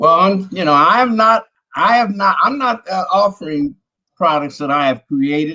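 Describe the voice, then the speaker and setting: A man speaks in a raised, projected voice. His tone is bright and sharp, and his pitch is high. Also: moderate pace. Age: 70s. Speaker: street vendor. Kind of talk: live stream interview. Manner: halting, many fillers.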